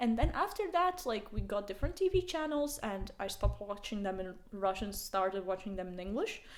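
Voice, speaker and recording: A woman speaks with a Latvian accent at a fairly quick pace. She leaves hardly any pauses. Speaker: podcast co-host. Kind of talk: casual chat.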